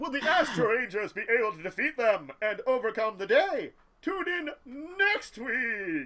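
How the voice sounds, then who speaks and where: A man does a put-on character voice at an extremely high pitch and a moderate pace. His loudness swings widely. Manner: bad, over-the-top announcer voice.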